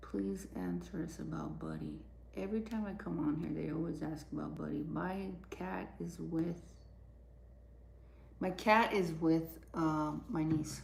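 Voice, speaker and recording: Soft-spoken, a woman talks at a fairly slow pace with long, frequent pauses and audible room echo. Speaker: livestreamer. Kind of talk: casual chat.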